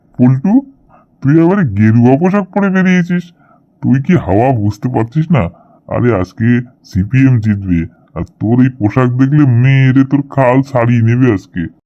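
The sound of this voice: Putting on a cartoonish character voice, a man speaks at a moderate pace from a medium pitch with very wide pitch swings.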